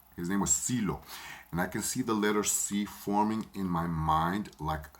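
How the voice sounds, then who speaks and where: A man's very deep, low voice moves at a moderate pace with ordinary pitch variation. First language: Spanish. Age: 40s. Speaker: spiritual medium. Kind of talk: personal storytelling. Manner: halting.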